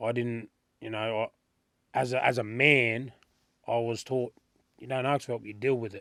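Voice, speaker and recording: A man with an Australian accent speaks at a moderate pace in a medium pitch with monotone, flat intonation, the sound dry and close with no echo. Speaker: rapper. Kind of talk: interview. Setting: studio.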